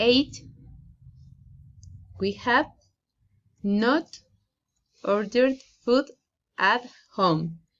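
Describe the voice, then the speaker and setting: A woman with a fairly high pitch talks at a very slow pace with lively intonation. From Colombia. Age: 30s. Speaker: student. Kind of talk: oral presentation. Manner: halting.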